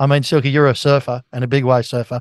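Speaking with an Australian accent at a medium pitch, a man keeps a monotone, flat intonation, his voice dry and close with no echo over a quiet background. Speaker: sports radio host. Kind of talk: casual sports chat.

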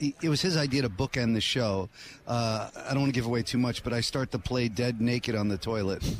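It moves at a moderate pace, with ordinary pitch variation. This is an unremarkable speaking voice. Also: man. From New Jersey, born in Brooklyn. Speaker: actor and playwright. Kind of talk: radio interview. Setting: live radio row broadcast at convention center.

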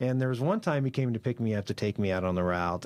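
A man with a Midwestern US accent talks at a fairly quick pace with ordinary pitch variation, on a very clean recording with a silent background. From Kansas, Concordia. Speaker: TV promotions manager, former radio broadcaster. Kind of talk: casual chat. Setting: studio.

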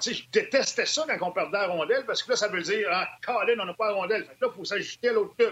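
A man with high pitch talks at a very fast pace with hardly any pauses and ordinary pitch variation. His loudness swings widely, and noticeable background noise is present. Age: 50s. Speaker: hockey analyst, former player. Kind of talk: panel discussion on hockey.

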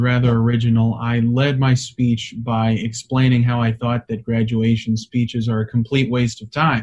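A man with a medium pitch and a somewhat breathy voice speaks at a moderate pace, with hardly any pauses. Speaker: conservative advocacy staffer. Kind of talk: interview. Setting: video call.

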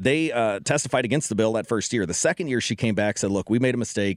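A man with an American accent at medium pitch, ordinary pitch variation, a very fast pace, and a very clean recording with a silent background. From Ferguson, Missouri. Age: 30s. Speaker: state politician and attorney. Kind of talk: roundtable discussion. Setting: radio studio.

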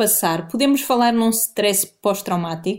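The speech comes at a very slow pace with ordinary pitch variation. It is delivered in a European Portuguese accent. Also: woman. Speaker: journalist. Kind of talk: interview.

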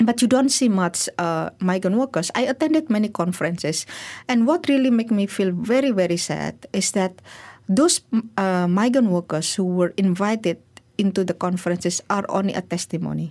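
Against a silent background in a very clean recording, a woman at medium pitch talks at a moderate pace with lively intonation. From Indonesia. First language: Indonesian. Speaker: migrant workers' rights advocate. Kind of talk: interview. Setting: studio.

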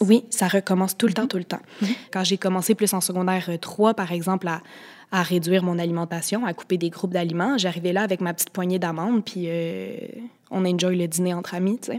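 A woman talks at a fairly quick pace with a Quebec accent. Her pitch sits in the medium range. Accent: Québécois French. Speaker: guest sharing eating disorder experience. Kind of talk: testimony.

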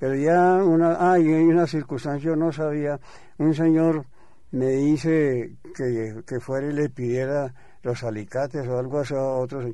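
A dark, mellow tone from a man pitched fairly high. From Colombia, Bogotá. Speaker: press photographer. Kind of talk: interview. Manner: halting.

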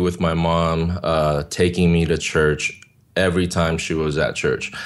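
A man with a Korean accent speaks at a fairly slow pace in a very deep, low voice. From South Korea, moved to California at nine. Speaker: worship leader. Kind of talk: interview testimony. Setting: video call.

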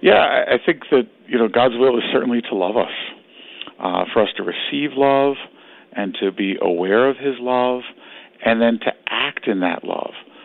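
A man with an unremarkable speaking voice and a medium pitch talks at a moderate pace with ordinary pitch variation. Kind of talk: radio interview.

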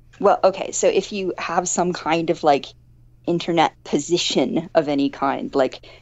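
A woman with an American accent speaks at a moderate pace in a fairly low pitch, with ordinary pitch variation. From Missouri. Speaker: academic author. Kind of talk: casual interview.

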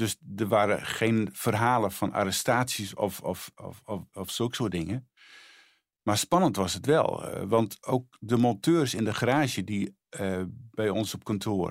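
Speech comes at a very slow pace with ordinary pitch variation on a very clean recording with a silent background. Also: man, fairly low pitch for a man. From Netherlands, Friesland. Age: 60s. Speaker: charity spokesperson. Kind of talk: testimony. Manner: halting.

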